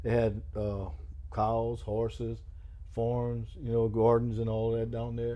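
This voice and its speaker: A man talks in a relaxed tone at a very slow pace, with audible room echo around him. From Louisiana, Terrebonne Parish (Houma). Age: 60s. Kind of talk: oral history interview. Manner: relaxed, hesitant with many uh fillers.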